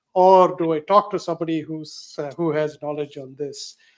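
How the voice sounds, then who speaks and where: At a moderate pace, a man speaks in a high pitch. His intonation is monotone and flat. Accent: South Indian. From South India. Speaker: show host and research analyst. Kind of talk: live panel interview. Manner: hesitant, many fillers.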